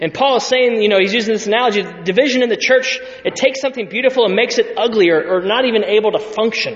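A man with an American accent talks at a very fast pace and an extremely high pitch, with ordinary pitch variation and hardly any pauses. Noticeable background noise is present. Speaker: pastor. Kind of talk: sermon. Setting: church.

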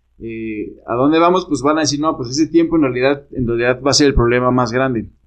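In a normal speaking voice, a man talks at a fairly high pitch with fairly even intonation. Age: 30s. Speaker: urban development professional. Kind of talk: casual chat.

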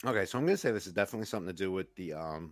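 This New York accent comes through on a very clean recording with a silent background. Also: man. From New York, Queens. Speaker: co-host, retired EMT. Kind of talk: casual chat.

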